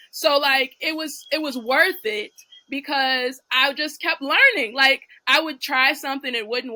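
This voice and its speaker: High-pitched woman's voice, raised and projected, with a bright, sharp tone. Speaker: real estate investor and coach. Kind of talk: casual chat.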